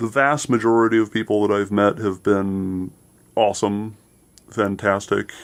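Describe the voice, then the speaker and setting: The speaker, with an American accent, keeps a moderate pace and fairly even intonation in a very clean recording with a silent background. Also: man, fairly low pitch for a man. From Seattle. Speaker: actor. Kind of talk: radio interview.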